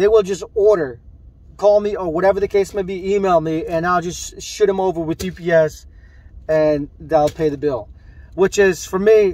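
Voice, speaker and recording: A man speaks at a moderate pace, his voice dry with no echo. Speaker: t-shirt seller. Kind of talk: casual vlog chat. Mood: mildly annoyed, reflective. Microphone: phone near.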